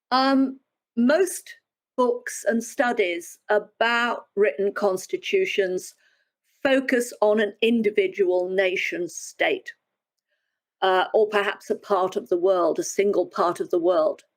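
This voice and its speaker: A woman with a British accent talks very slowly at a fairly high pitch. Her pitch swings very widely while her loudness stays very even. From United Kingdom. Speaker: historian, professor. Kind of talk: interview.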